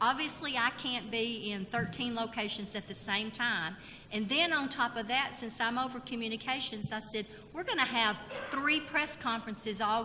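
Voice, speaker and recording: A woman with a slight Tennessee accent speaks at a moderate pace and a fairly high pitch. Noticeable background noise and audible room echo fill the recording. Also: ordinary pitch variation. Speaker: state labor department communications official. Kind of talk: conference presentation. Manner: animated.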